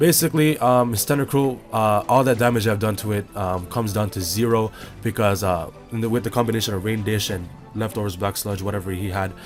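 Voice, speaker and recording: The man's voice sits fairly low, its pitch shifting in an ordinary way. He talks fairly quickly while music plays behind him. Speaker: Pokemon battle commentator. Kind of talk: casual gameplay commentary.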